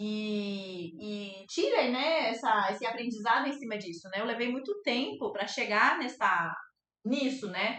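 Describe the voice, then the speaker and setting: Audible room echo surrounds the speech. It goes at a fairly slow pace, with ordinary pitch variation. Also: woman, fairly high pitch for a woman. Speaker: art teacher and fluid art painter. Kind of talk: live online class. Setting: livestream.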